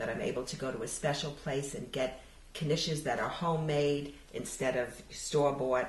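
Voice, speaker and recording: A woman with an American accent speaks at a very deep, low pitch and a moderate pace. Her intonation is fairly even, and there is noticeable background noise. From New York City. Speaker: oral history interviewee. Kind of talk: interview answer.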